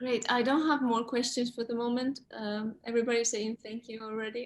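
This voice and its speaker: A woman with a non-native accent talks at a fairly quick pace in a fairly high pitch, her intonation flat and monotone. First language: not English. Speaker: Q&A moderator. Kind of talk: Q&A moderation.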